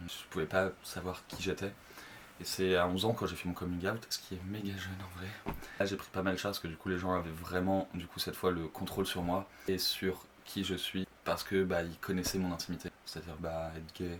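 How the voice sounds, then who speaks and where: Monotone and flat in intonation, a man speaks with a very deep, low pitch. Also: moderate pace. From France, Le Mans (Sarthe). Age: 20s. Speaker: drag performer. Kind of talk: personal testimony. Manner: hesitant, many fillers.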